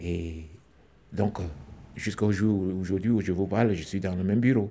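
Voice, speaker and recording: At a fairly slow pace, a man speaks with a very deep, low pitch, fairly even intonation and a dark, mellow tone. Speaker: theatre actor, former squatter. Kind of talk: testimony.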